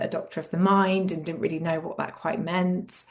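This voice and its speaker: A woman speaks with an English accent and a fairly low pitch. Her intonation is monotone and flat. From England. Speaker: clinical psychologist and yoga therapist. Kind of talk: interview.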